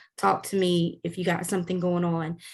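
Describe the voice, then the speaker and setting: Against a quiet background, someone with a Louisiana accent speaks at a moderate pace. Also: woman. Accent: Southern US, Louisiana. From US South, South Louisiana. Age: 40s. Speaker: online course instructor. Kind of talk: course orientation lecture. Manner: casual, frequent filler 'um'.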